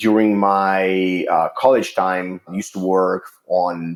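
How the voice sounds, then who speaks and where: A man with an Italian accent. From Italy. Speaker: water treatment chemist. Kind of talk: podcast interview. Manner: halting, many fillers.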